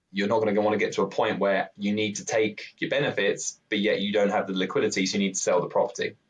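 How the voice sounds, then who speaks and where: With a British accent, a man rattles along at a very fast pace with hardly any pauses. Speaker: pension provider expert. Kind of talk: podcast interview. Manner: slightly halting.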